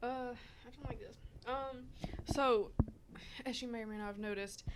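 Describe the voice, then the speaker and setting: A woman mumbles in a high pitch, with audible room echo. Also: ordinary pitch variation, moderate pace. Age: 20s. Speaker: podcast host. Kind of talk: casual chat. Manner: mumbling.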